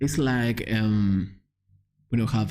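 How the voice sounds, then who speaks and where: A man speaks very slowly with a Spanish accent. There is audible room echo. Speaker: live-coding streamer. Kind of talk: live coding stream. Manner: halting.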